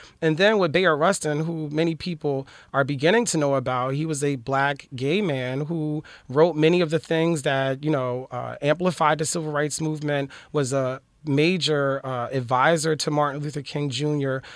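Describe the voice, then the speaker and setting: This man has an unremarkable speaking voice, fairly high in pitch, with fairly even intonation at a moderate pace. The recording is very clean with a silent background. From Philadelphia. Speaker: professor. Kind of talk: interview.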